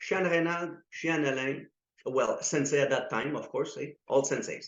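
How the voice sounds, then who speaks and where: A man with a slight French accent, at a fairly slow pace. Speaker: karate instructor. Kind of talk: interview. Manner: halting.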